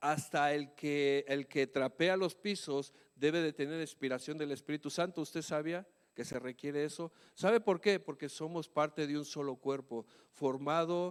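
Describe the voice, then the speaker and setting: A man talks fairly slowly at a fairly high pitch. His pitch variation is ordinary. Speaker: pastor. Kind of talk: sermon. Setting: church. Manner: shouts at times.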